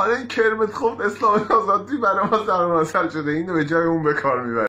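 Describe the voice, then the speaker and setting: Raised and projected, a man's high-pitched voice races at a very fast pace with lively intonation. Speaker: amateur comedian. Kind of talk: joke telling to camera. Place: home room. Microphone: phone near.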